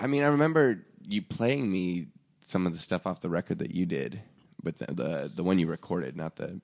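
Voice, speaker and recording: A man with an American accent, a very deep, low pitch, vocal fry and very wide pitch swings at a moderate pace, in a dry, close recording with no echo. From Oregon, US Pacific Northwest. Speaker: podcast host and musician. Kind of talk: casual interview chat. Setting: studio.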